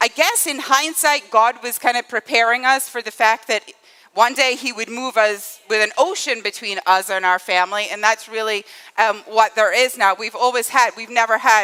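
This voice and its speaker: The sound is dry and close, with no echo. A woman speaks in a bright, sharp tone. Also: fairly high pitch for a woman, ordinary pitch variation, moderate pace. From northeast Scotland. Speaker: church teacher. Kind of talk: sermon. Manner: conversational, frequent fillers.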